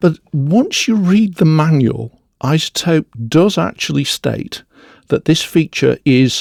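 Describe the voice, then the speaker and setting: The sound is dry and close with no echo. A man with a Northern English accent speaks fairly slowly with lively intonation. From northern England. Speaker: audio software reviewer. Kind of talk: tutorial.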